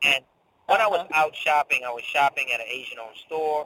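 With a slight Caribbean accent, the voice comes through with a dry, close sound and no echo. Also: man. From Saint Thomas, US Virgin Islands. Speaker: business professor and entrepreneur. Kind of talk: interview. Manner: halting.

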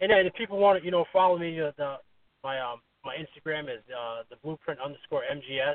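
A fairly high-pitched man with an American accent at a fairly quick pace, ordinary pitch variation and big swings in loudness. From New York. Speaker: mixed martial arts fighter. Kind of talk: interview. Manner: halting.

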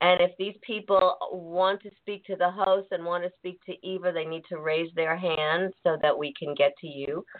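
In an ordinary speaking voice, a woman talks at a moderate pace with hardly any pauses, a fairly low pitch and fairly even intonation. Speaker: radio host. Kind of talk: radio interview. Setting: studio.

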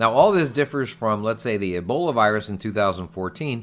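A man's fairly low voice with lively intonation, in a very clean recording with a silent background. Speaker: physician and podcast co-host. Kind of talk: casual chat and medical explainer. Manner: talkative.

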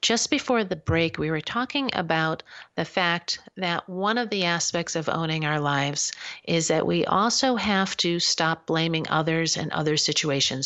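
Someone talks in a plain, everyday voice at a moderate pace, with lively intonation. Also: woman. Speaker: radio host. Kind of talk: live internet talk radio show, host monologue and call-in. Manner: warm, conversational, upbeat radio-host patter with a friendly, coaching tone.

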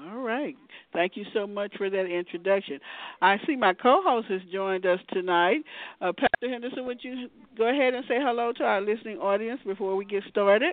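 A woman talks at a fairly quick pace with a fairly high pitch and lively intonation in a normal speaking voice. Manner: warm, encouraging.

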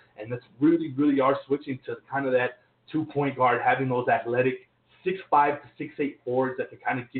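This man has an unremarkable speaking voice at a medium pitch, with fairly even intonation. He goes at a fairly quick pace, and his loudness swings widely. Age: 20s. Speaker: sports podcast host. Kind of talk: casual sports talk.

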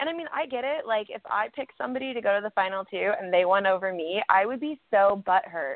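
With very wide pitch swings, a woman of medium pitch speaks at a fairly quick pace. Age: 30s. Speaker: reality TV alumna, guest host. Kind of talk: casual chat.

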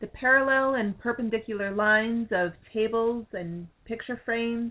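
This is an unforced reading voice. It is heard here on its own.

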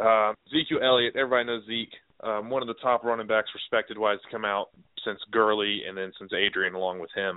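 In a normal speaking voice, a man talks at a fairly quick pace with medium pitch and fairly even intonation. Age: 20s. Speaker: sports podcast co-host. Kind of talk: casual chat.

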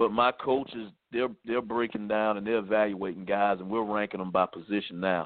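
Speaking at a moderate pace with hardly any pauses, a man with a Southern US accent uses a fairly low pitch and fairly even intonation. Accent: US South. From South Carolina. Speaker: high school football head coach. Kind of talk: radio interview. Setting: phone call.

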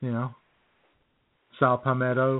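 A man speaks at a slow pace. His intonation is monotone and flat. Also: medium pitch for a man.

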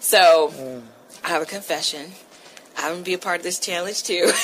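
A woman at medium pitch and moderate pace, with noticeable background noise. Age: 40s. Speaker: radio talk show host. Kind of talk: radio talk show.

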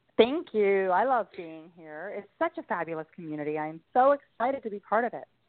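A woman's medium-pitched voice at a fairly quick pace, with hardly any pauses, very wide pitch swings and big swings in loudness. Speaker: author and podcast guest. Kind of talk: interview.

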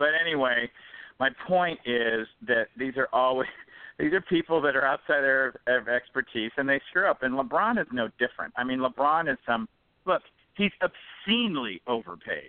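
Using a plain, everyday voice, a man speaks at a moderate pace and a fairly high pitch, with lively intonation and very even loudness. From Detroit. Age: 50s. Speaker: author and entrepreneur. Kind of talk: casual chat. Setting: phone call.

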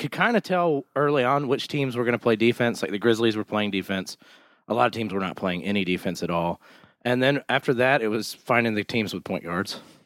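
A man's plain, everyday voice at a medium pitch, lively in intonation and fairly quick, with a dry, close sound and no echo. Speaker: podcast co-host. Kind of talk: casual chat. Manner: jokey, interrupts often.

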